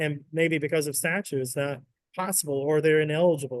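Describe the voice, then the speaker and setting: Here is an unremarkable speaking voice from a man with an American accent and a fairly high pitch. He talks at a fairly quick pace with fairly even intonation. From US South. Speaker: state economic development executive. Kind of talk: webinar interview.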